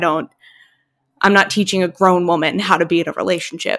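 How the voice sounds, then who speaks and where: A woman's medium-pitched, fairly quick delivery with fairly even intonation, a normal speaking voice, on a very clean recording with a silent background. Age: 20s. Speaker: podcast co-host. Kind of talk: casual chat.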